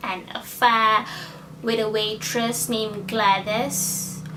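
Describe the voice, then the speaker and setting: A woman with a non-native accent speaks with ordinary pitch variation. The recording has noticeable background noise and audible room echo. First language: not English. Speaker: book vlogger. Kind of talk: casual book review monologue. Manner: hesitant, with fillers.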